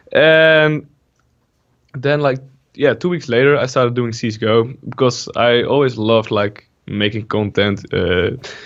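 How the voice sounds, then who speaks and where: A man speaks with a Dutch accent at a medium pitch. He goes at a fairly slow pace with ordinary pitch variation. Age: 20s. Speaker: gaming YouTuber. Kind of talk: casual interview.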